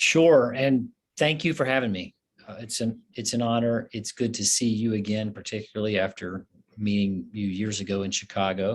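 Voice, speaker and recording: An American accent comes at a moderate pace with ordinary pitch variation. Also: man, fairly low pitch for a man. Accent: Southern US, thicker lately. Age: 40s. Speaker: physician and professor. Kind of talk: interview conversation.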